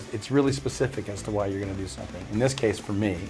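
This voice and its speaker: A man's fairly low voice with ordinary pitch variation, music playing in the background. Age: 60s. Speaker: actor. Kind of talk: interview answer.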